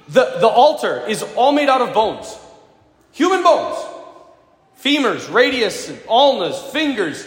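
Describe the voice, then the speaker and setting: With audible room echo, a man speaks at an extremely high pitch and a fairly slow pace, his intonation lively and broken by long, frequent pauses. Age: 40s. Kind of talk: sermon. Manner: animated.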